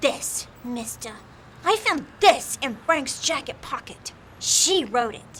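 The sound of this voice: Putting on a character voice, a woman speaks slowly in a high pitch with a fairly bright tone and lively intonation.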